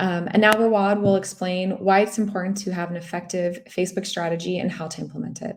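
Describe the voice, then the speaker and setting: A woman with an American accent at a very fast pace and medium pitch, monotone and flat, with hardly any pauses and big swings in loudness. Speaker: local SEO expert presenting a webinar. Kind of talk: webinar presentation. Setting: online webinar.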